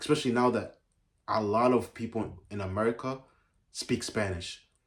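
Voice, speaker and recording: This man's voice is somewhat breathy and fairly low in pitch. His intonation stays fairly even. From Uganda. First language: Ugandan mother language. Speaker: YouTuber. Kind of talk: casual vlog talk. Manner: halting, many fillers and restarts.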